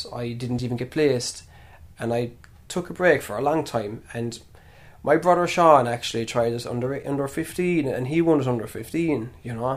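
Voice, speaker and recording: Speaking with a Kerry accent, a man uses a medium pitch with ordinary pitch variation. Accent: Kerry Irish. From Ireland, Killarney, County Kerry. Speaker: primary school teacher and traditional musician. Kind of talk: casual interview. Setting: in his family home.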